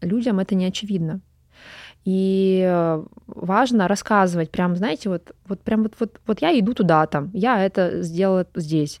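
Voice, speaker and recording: A woman speaks at a moderate pace with an ordinary speaking voice, medium in pitch with ordinary pitch variation. The sound is dry and close, with no echo. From Urals, Russia (Pervouralsk near Yekaterinburg). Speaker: film director and photographer. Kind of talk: interview.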